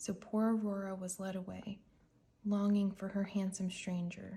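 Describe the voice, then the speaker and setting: Soft-spoken and somewhat breathy, a woman talks at a moderate pace and medium pitch in a soothing, dark, mellow tone with monotone, flat intonation. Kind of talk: ASMR bedtime story read-aloud. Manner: soft-spoken, soothing.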